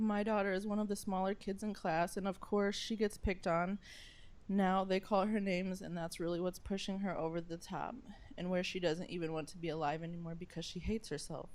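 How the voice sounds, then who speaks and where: Her voice unremarkable, a woman speaks at a fairly quick pace with medium pitch and fairly even intonation. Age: 30s. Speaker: parent giving public comment. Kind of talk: public comment at school board meeting.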